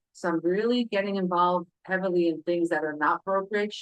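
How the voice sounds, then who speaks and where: A woman's fairly low voice at a moderate pace. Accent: New York. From New York City (Brooklyn). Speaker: parent advocate. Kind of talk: self-introduction at public meeting. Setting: public council meeting. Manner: halting, many fillers.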